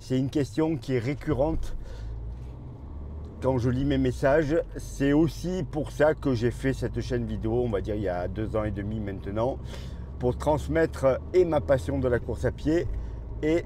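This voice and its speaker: Long, frequent pauses from a man at a fairly slow pace, amid noticeable background noise. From southern France, Marseille. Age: 60s. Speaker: running coach and YouTuber. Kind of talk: casual vlog monologue. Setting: in a car while driving.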